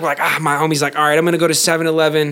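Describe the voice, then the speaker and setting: A man with a fairly high voice talks very fast while noticeable background noise plays behind him. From Las Vegas, US. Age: 20s. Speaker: rapper and podcaster. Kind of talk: casual chat.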